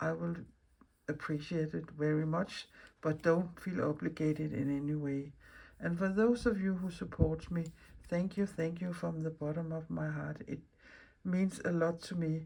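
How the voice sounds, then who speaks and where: This woman has a Danish accent and a very deep, low pitch with a dark, mellow tone. She speaks at a moderate pace with fairly even intonation. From Denmark. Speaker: mixed media artist, craft video maker. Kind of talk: casual craft vlog talk. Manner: halting, with fillers and restarts.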